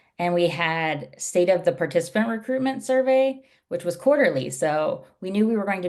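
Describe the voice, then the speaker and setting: The background stays quiet. It's a woman's voice. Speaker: UX research operations leader. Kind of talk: presentation. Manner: fast.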